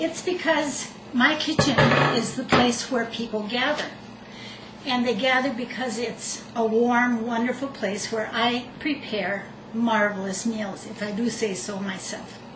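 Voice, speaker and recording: Ordinary pitch variation in fairly slow speech, with noticeable background noise and audible room echo. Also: woman. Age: 60s. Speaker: retired nurse, home cook. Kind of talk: cooking demonstration. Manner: conversational, slightly halting.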